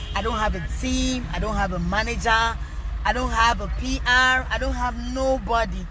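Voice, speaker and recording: A woman is heard with audible room echo and noticeable background noise around her words. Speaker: rapper and social media personality. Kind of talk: live stream Q&A. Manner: loud at times.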